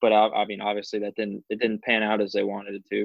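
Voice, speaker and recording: A man with an American accent talks at a very fast pace in a fairly low pitch. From US South, Orlando, Florida. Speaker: minor league baseball pitcher. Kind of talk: interview.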